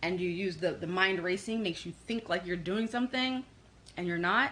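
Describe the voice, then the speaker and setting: Woman's medium-pitched voice at a fairly quick pace, with ordinary pitch variation. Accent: New York. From New York. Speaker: psychic and life coach. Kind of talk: live channeled reading for online group.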